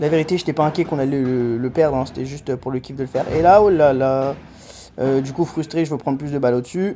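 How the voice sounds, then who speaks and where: Talking at a very fast pace, a man with a fairly high pitch and a dark, mellow tone shows ordinary pitch variation. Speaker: amateur padel player and vlogger. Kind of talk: commentary over own match footage. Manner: casual, animated.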